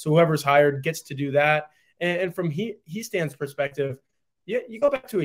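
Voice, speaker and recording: A man's plain, everyday voice at a fairly quick pace. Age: 20s. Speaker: college football reporter. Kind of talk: casual sports discussion.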